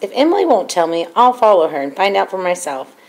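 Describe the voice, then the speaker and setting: Using a raspy, put-on character voice at a medium pitch, a woman talks at a very fast pace. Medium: read story.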